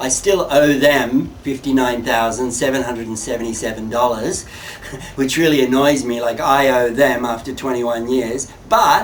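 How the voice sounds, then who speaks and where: Amid noticeable background noise and audible room echo, a man with a medium-pitched voice and an Australian accent speaks at a moderate pace. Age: 60s. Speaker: artist. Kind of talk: interview monologue.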